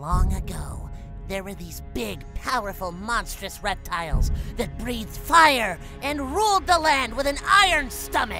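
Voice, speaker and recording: A put-on character voice, female-sounding and high in pitch, at a moderate pace over clear music in the background. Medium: audio drama.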